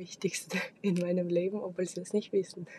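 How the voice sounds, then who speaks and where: A woman with a dark, mellow tone talks at a moderate pace, sounding somewhat breathy. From Kazakhstan. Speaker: podcast host. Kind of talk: solo monologue. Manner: halting, many fillers.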